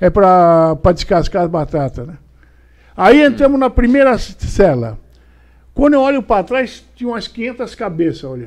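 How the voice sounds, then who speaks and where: Against a quiet background, a man talks at a fairly slow pace. His tone is animated, with very wide pitch swings. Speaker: retired police officer telling stories. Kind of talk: elder telling a life story, recounting a prison visit anecdote. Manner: animated, gripping storytelling with hesitations and repeated words; casual, colloquial, dramatic with reenacted dialogue and shouts. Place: studio. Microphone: studio mic.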